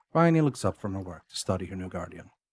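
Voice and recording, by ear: A man speaks at a fast pace in a low pitch, with big pitch swings. His tone is slightly mellow, with a slightly husky edge.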